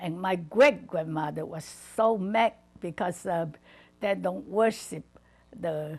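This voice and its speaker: Speaking at a very slow pace, a woman leaves long, frequent pauses. Her fairly low voice has vocal fry and ordinary pitch variation. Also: big swings in loudness. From southern China, Guangdong. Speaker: retired missionary wife. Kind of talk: oral history interview. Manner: halting, many fillers.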